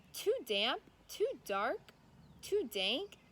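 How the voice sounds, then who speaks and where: A woman puts on a squeaky character voice pitched extremely high. Her pitch swings very widely from line to line. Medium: read story.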